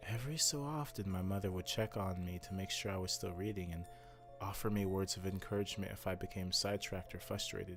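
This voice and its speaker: Over music in the background, a man talks very fast at a fairly low pitch with ordinary pitch variation. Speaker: storyteller. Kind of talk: horror story narration.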